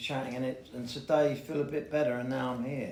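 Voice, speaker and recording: With a London accent, a man speaks at medium pitch and a moderate pace amid audible room echo. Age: 60s. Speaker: recovering addict sharing at a meeting. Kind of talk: recovery share. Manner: halting.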